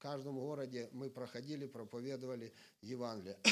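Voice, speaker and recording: A man's normal speaking voice at medium pitch and a moderate pace. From Ukraine, Sumy region. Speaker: evangelist preacher. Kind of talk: sermon.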